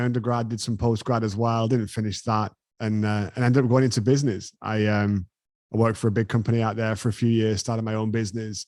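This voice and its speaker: Talking at a very fast pace, a man uses an English accent. His medium-pitched delivery stays in a monotone, flat intonation. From England. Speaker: business owner. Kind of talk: interview.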